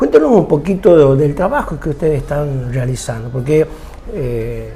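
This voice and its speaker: Audible room echo and noticeable background noise around a man talking at a moderate pace. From Argentina, Tucumán. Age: 60s. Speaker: TV show host. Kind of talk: interview.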